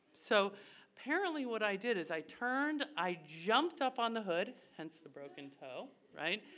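Her bright, sharp voice is fairly high-pitched with vocal fry, and this woman swings her pitch very widely while keeping a moderate pace. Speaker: storyteller. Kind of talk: live storytelling. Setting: stage with audience.

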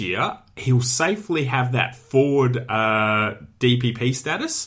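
A man with an Australian accent talks at a medium pitch and a fairly slow pace, with a bright, sharp tone. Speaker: fantasy football podcast host. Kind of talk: solo sports analysis podcast. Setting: studio. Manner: casual.

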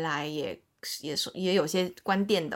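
With a plain, everyday voice, a woman speaks at a moderate pace and a fairly low pitch, her intonation fairly even, in a very clean recording with a silent background. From China, Shanghai. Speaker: podcast co-host, entertainment industry worker. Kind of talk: casual chat.

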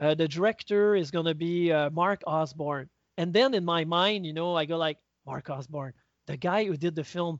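With a high pitch and ordinary pitch variation, a man speaks at a moderate pace. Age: 50s. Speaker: stop motion animation teacher and festival founder. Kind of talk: interview conversation. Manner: hesitant with fillers.

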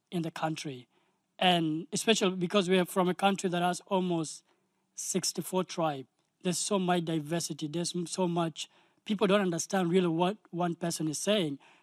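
Recorded very cleanly against a silent background, a man with a high-pitched voice talks at a moderate pace in a dry, close sound with no echo. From South Sudan. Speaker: video game company founder. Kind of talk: speech.

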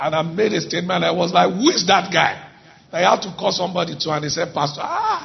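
A man with a high pitch and warm tone speaks at a very fast pace. His intonation is fairly even, with noticeable background noise behind him. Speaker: church pastor. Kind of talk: sermon. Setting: church. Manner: warm, exuberant, leads the congregation.

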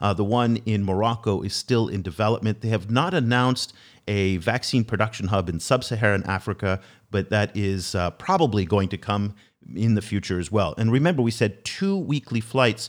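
A man with a normal speaking voice, a fairly low pitch, ordinary pitch variation and a moderate pace, in a very clean recording with a silent background. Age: 50s. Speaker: podcast host. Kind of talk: interview.

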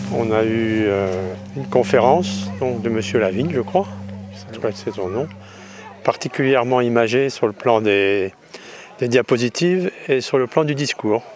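Over music in the background, a man talks fairly slowly at medium pitch with ordinary pitch variation and long, frequent pauses. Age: 40s. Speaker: event visitor. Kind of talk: vox pop interview.

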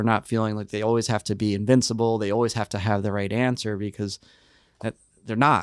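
A man speaks at a medium pitch with fairly even intonation. The recording is very clean, with a silent background. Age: 40s. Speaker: nonprofit chief operating officer. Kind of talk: interview. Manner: halting, frequent repetitions.

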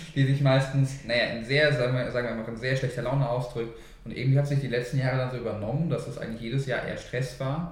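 A man at a medium pitch, very fast and with hardly any pauses, in a monotone, flat intonation amid audible room echo. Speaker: podcast co-host. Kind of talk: casual chat.

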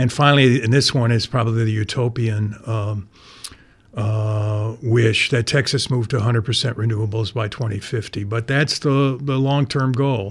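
A man's somewhat breathy, medium-pitched voice at a moderate pace with fairly even intonation. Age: 60s. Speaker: newspaper staff writer. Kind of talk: radio interview. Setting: studio. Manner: halting.

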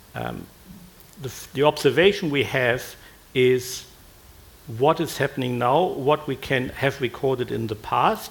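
Long, frequent pauses break up this man's speech in a German accent. His pitch is medium, with ordinary variation. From Germany. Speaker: retired physics professor. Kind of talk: panel discussion.

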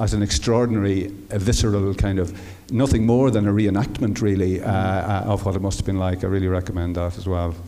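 With an Irish accent, a man talks at a fairly quick pace in a fairly low pitch. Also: fairly even intonation. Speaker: audience member. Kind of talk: audience question. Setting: stage with audience.

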